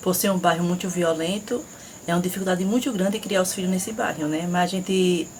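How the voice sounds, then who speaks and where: Against noticeable background noise, a woman's medium-pitched voice proceeds at a moderate pace. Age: 40s. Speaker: school cook, interviewee. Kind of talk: interview.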